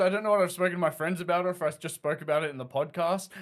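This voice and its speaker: With an Australian accent, a man speaks in a high voice with fairly even intonation. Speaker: podcast co-host. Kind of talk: casual chat.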